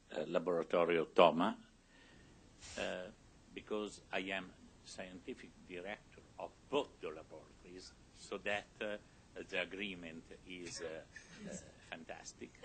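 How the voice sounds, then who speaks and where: A man with an Italian accent speaks in a very deep, low voice at a fairly slow pace. His intonation is fairly even, with long, frequent pauses and big swings in loudness. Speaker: scientist. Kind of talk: lecture. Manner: halting.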